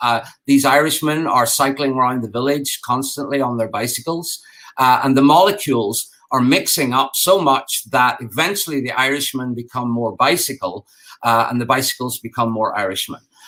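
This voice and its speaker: Bright and sharp in tone, a man speaks at a moderate pace in a medium pitch with ordinary pitch variation. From Ireland. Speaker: game designer and architect. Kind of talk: conference talk. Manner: halting, many fillers.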